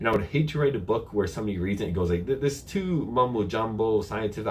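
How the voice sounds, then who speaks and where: A man talks at a very fast pace with lively intonation. His voice is somewhat breathy. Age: 30s. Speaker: health and bodybuilding youtuber. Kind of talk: live q&a stream. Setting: live stream on camera. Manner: casual, conversational.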